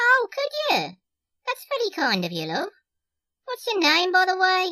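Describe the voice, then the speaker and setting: A man does a put-on character voice, extremely high-pitched and squeaky. He talks at a moderate pace. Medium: audio drama. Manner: chatty, familiar, calls people love and darling.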